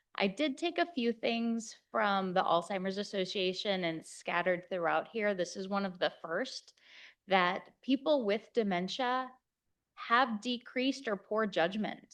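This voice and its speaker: In an American accent, a woman with a plain, everyday voice speaks at a fairly slow pace, with medium pitch and lively intonation over a quiet background. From Kansas, USA. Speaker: geriatric physician. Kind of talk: conference lecture.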